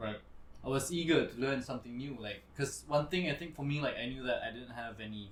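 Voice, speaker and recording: This man talks at a fairly quick pace, his medium-pitched voice somewhat breathy. His pitch varies in an ordinary way. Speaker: restaurant general manager, former model. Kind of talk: casual chat. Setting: live podcast. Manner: casual, hesitant with fillers.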